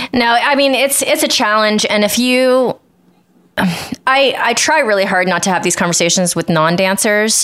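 Her unremarkable speaking voice sits fairly high, and this woman keeps her loudness very even while her intonation stays lively at a moderate pace. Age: 40s. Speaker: podcast co-host and professional dancer. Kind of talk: casual chat.

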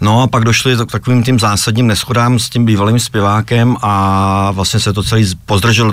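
A man with an ordinary speaking voice, medium in pitch, at a fairly quick pace. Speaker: rock band founder and leader. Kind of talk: radio interview.

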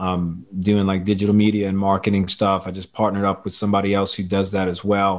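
A man speaks in a Louisiana accent at a fairly low pitch. His intonation stays monotone and flat in a very clean recording with a silent background. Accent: Louisiana Southern US. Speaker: teacher. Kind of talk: podcast interview.

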